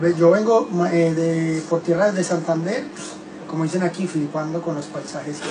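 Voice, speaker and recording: Through noticeable background noise, a man with a Colombian accent speaks at a moderate pace and a high pitch, his intonation fairly even. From Colombia, Medellín. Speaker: reggaeton singer. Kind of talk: casual radio interview. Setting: radio studio.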